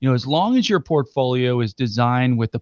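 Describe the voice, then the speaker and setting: Here a man has a normal speaking voice at medium pitch, moving at a fairly quick pace with ordinary pitch variation. The sound is dry and close with no echo over a quiet background. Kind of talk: infomercial call-to-action pitch. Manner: urgent, repetitive, clearly enunciated number-reading.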